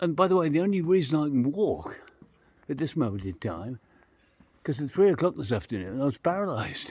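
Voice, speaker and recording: Here a man talks at a moderate pace in an English accent. His pitch swings very widely. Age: 60s. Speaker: travel vlogger. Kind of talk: casual vlog narration. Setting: outdoors on a street at night. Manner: rambling, chatty.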